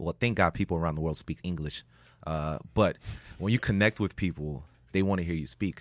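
In a Miami accent, a man with a very deep, low pitch and ordinary pitch variation speaks on a very clean recording with a silent background and a dry, close sound with no echo. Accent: Miami American English. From Miami, Florida (Haitian American). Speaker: public speaker and consultant. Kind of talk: casual chat. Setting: studio.

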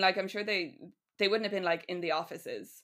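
Talking at a very fast pace, a woman uses a medium pitch with ordinary variation. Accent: Irish. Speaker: writer guest. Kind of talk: casual chat, storytelling.

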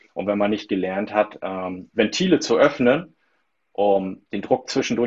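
With ordinary pitch variation, the speaker has a plain, everyday voice. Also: man. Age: 30s. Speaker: stress coach. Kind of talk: interview.

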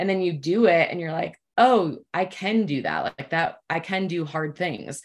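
A woman's fairly low voice at a moderate pace with ordinary pitch variation, a plain, everyday voice. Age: 30s. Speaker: nutrition and fitness coach. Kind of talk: casual chat.

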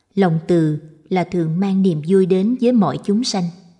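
This woman has a dark, mellow tone, a somewhat breathy quality and a medium pitch. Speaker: audiobook narrator. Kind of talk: scripted narration of Buddhist short stories.

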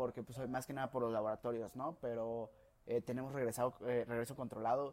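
The tone is dark and mellow. The intonation stays monotone and flat. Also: man. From León, Guanajuato, Mexico. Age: 20s. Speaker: podcast host, engineering student. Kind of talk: casual chat.

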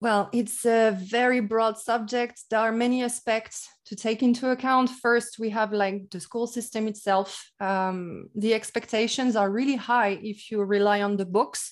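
A woman with a French accent speaks fairly slowly at a fairly high pitch, with fairly even intonation and hardly any pauses. The recording is very clean with a silent background. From France. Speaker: English teacher. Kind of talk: casual interview.

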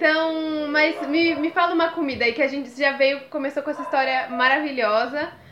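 A woman speaks at a moderate pace in a high voice, with noticeable background noise behind her. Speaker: podcast host. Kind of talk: casual chat. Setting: at home.

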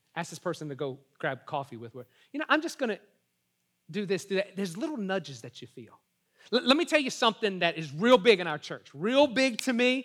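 With a Southern US accent, a man talks at a fairly quick pace in a high pitch, his tone animated, with very wide pitch swings, big swings in loudness and long, frequent pauses. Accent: US South. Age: 40s. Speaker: pastor. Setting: church service with live audience. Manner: animated and rapid, with repeated words and quick self-corrections.

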